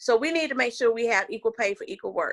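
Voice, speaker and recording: A woman's fairly high voice in a Southern US accent. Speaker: political candidate. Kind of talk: political interview. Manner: animated.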